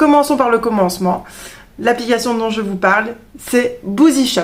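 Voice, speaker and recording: Speaking in a Belgian accent, a woman talks at a moderate pace with ordinary pitch variation. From Belgium. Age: 30s. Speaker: beauty vlogger, trained beautician. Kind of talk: product review vlog. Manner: hesitant, many fillers.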